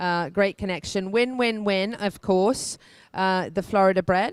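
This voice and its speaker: With an English accent, a woman speaks at medium pitch and a moderate pace, sounding dry and close with no echo on a very clean recording with a silent background. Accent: non-rhotic English, doesn't roll R's. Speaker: equestrian show host. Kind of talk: on-location news report. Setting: hotel, on location.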